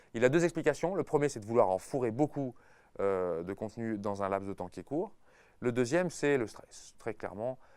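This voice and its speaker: In a very clean recording with a silent background, a man of medium pitch speaks with very wide pitch swings. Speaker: university lecturer. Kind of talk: casual talk to teachers. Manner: hesitant, many fillers.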